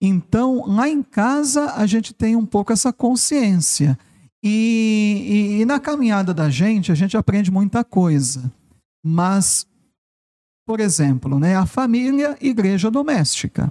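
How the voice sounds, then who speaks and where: A man's high-pitched voice, dark and mellow in tone, very slow, with very wide pitch swings, very even loudness and a dry, close sound with no echo. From São Paulo city, Brazil. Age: 40s. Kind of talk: testimony. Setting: studio.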